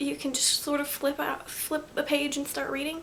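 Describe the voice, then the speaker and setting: Over noticeable background noise, a woman speaks in a high-pitched voice. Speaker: booktuber. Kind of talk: casual vlog book haul. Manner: hesitant, many fillers.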